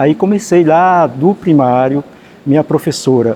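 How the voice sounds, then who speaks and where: Lively in intonation and fairly high for a man, the voice is an ordinary speaking voice. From Sergipe, Brazil (Malhador, rural interior). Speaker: writer and teacher. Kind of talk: interview. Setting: library.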